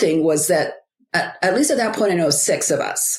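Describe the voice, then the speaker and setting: A woman with a fairly low pitch and a normal speaking voice talks with ordinary pitch variation. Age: 60s. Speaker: author and biblical life coach. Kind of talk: interview, personal testimony. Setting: podcast interview.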